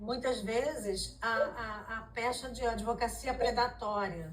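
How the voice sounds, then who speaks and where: A woman talks very slowly, and room echo is audible around her. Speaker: lawyer. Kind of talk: symposium lecture. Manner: hesitant fillers.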